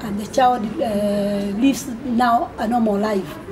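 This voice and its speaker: Noticeable background noise and audible room echo surround a woman speaking in a fairly high voice. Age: 60s. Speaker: amateur marathon runner and charity fundraiser. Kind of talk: radio interview. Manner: halting, many repetitions.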